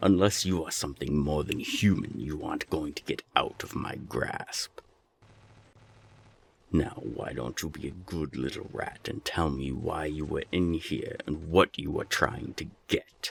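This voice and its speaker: A man puts on a character voice pitched very deep and low, speaking at a moderate pace. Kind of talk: audio drama. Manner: threatening, cold.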